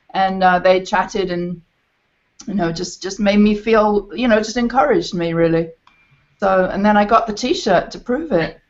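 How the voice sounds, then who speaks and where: A woman speaks at a medium pitch and a moderate pace. Her pitch variation is ordinary. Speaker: performing arts teacher. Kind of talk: panel discussion on video call. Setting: video call.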